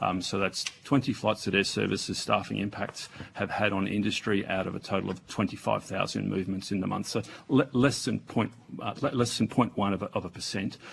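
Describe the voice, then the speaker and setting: Fairly low male voice with an Australian accent, fairly even intonation, and noticeable background noise. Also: fairly quick pace. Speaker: aviation agency executive. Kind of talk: parliamentary testimony. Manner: soft-spoken; halting. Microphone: too far from microphone.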